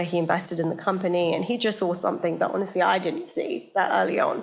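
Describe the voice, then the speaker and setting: With audible room echo, a woman speaks at a fairly quick pace and with ordinary pitch variation. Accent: British. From England, small town north of London. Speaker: media entrepreneur and talent manager. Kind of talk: live podcast interview. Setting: stage with live audience. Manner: animated, casual.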